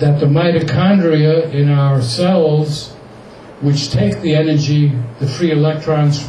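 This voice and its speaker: Amid audible room echo and noticeable background noise, a man speaks fairly slowly in a fairly high voice with fairly even intonation. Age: 80s+. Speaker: activist and publisher speaking at an event. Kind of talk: speech to an audience.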